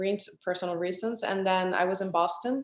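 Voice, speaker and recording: A woman with a Spanish accent, medium pitch and ordinary pitch variation. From Venezuela, Caracas. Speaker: artist. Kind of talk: interview conversation.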